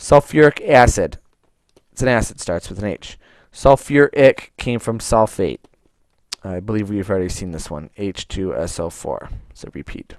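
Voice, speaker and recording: A man with a fairly low, unremarkable speaking voice, lively intonation, big swings in loudness and a moderate pace, in dry, close sound with no echo. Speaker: chemistry teacher. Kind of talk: tutorial.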